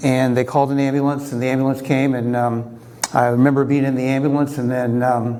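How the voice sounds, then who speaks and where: A man at a medium pitch and fairly quick pace, in monotone, flat intonation, with audible room echo and noticeable background noise. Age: 60s. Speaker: recreational triathlete and engineer telling his health story. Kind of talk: conference talk. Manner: halting with many fillers.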